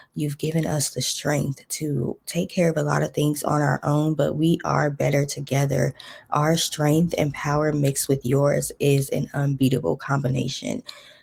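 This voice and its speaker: A soft-spoken woman talks at a very deep, low pitch with vocal fry. She keeps a moderate pace with hardly any pauses and fairly even intonation. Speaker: spiritual content creator. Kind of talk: prayer.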